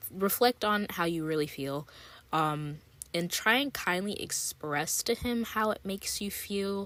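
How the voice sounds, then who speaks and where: A woman speaks with an unremarkable speaking voice. Her pitch sits in the middle range, and she goes at a fairly slow pace with lively intonation. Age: 20s. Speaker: podcast host. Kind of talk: casual advice talk. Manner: chatty, filler-heavy.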